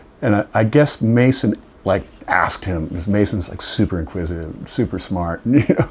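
A man's fairly low voice at a moderate pace, lively in intonation, over noticeable background noise. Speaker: guitarist and singer. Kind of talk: casual interview chat. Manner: casual, swears often.

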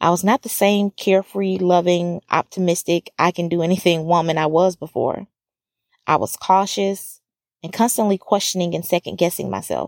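A woman with a normal speaking voice and an American accent talks at a moderate pace and fairly low pitch, her intonation fairly even. The recording is very clean, dry and close, with no echo and a silent background. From US South, small-town Alabama. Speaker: podcast host. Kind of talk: personal testimony narration.

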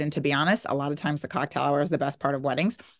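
Against a quiet background, a woman speaks with an American accent. Her tone is animated. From New Jersey. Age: 30s. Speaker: podcast host, binge eating coach. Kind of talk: casual solo podcast talk.

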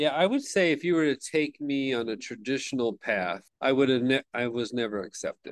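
A man speaks fairly quickly with an American accent and ordinary pitch variation. It is an ordinary speaking voice, set against a quiet background. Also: medium pitch for a man, dry, close sound with no echo. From Southern California. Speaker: teacher and adjunct professor. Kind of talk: podcast interview.

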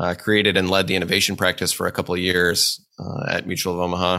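Speaking at a fairly quick pace with a Midwestern US accent, a man with a very deep, low pitch has a bright, sharp tone in a very clean recording with a silent background. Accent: US Midwest. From central Nebraska (Hastings). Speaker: insurance executive. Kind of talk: interview.

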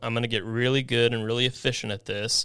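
The voice has a bright, sharp tone. It carries a Midwestern American accent. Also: man. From Kansas, US. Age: 30s. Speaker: rent-to-own business owner. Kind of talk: casual interview chat.

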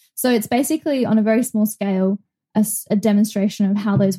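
A woman with a dark, mellow tone, somewhat breathy and of medium pitch, speaks at a moderate pace with ordinary pitch variation in a dry, close sound with no echo. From Australia (Brisbane). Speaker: zookeeper and animal trainer. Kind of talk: casual interview chat.

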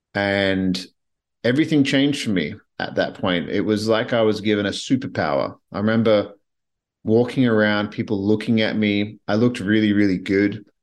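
Against a quiet background, a man speaks with a fairly low pitch at a moderate pace. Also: ordinary pitch variation. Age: 30s. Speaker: podcast host. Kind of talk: personal monologue. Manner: halting.

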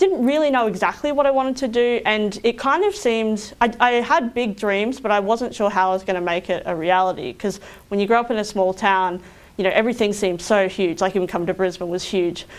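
The speaker talks at a very fast pace in an Australian accent, with ordinary pitch variation. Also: woman, fairly high pitch for a woman. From regional Queensland, Australia (Roma). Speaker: engineering consultant. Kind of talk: interview.

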